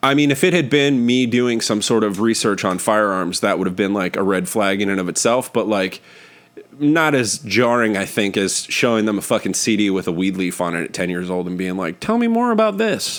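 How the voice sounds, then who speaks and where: Against noticeable background noise, a man speaks at a fairly quick pace in a fairly low pitch with ordinary pitch variation. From northern California, Oakland area. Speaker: podcast host, comedian. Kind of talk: casual chat.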